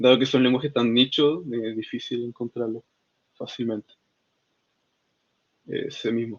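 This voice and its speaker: A man speaks at a fairly slow pace, his pitch sitting in the middle range. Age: 20s. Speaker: software developer and student. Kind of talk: casual interview. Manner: halting, many fillers.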